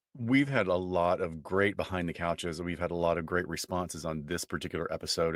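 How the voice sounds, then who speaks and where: With an American accent, a man speaks at a fairly quick pace with hardly any pauses in a very deep, low voice on a very clean recording with a silent background. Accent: Southern US, stronger than usual. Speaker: forensic psychologist podcast co-host. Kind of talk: casual podcast chat.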